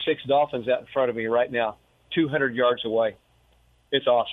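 A man's medium-pitched voice, fairly even in intonation, at a fairly quick pace. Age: 60s. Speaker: retired real estate investor. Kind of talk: interview.

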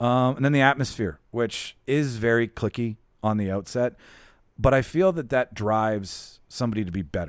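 An unremarkable speaking voice, a man of medium pitch talks at a moderate pace with ordinary pitch variation on a very clean recording with a silent background. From Winnipeg, Canada. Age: 30s. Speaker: podcast host. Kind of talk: casual banter, podcast.

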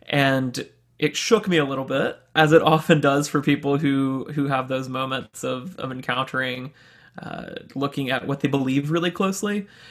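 A man with an American accent and a normal speaking voice, fairly high-pitched for a man, at a moderate pace with ordinary pitch variation, in a very clean recording with a silent background. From US South, Birmingham, Alabama. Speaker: realtor. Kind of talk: casual interview conversation.

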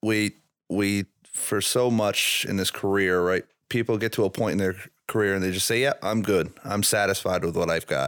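In an American accent and a normal speaking voice, a man talks at a moderate pace with fairly low pitch and fairly even intonation on a very clean recording with a silent background. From Burlington, Vermont, US. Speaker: paramedic, firefighter. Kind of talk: casual chat. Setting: studio.

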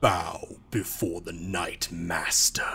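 A man puts on a booming, raspy character voice at a very deep, low pitch, with clear background noise. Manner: commanding.

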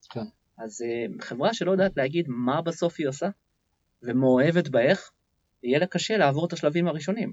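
A man at a fairly quick pace, with a fairly high pitch, lively intonation and long, frequent pauses. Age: 40s. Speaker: entrepreneur and business development CEO. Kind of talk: interview. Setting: studio.

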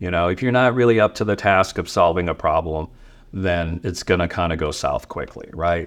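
Speaking at a fairly quick pace, a man uses an ordinary speaking voice. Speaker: receptionist. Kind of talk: casual interview chat. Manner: casual, filler-heavy.

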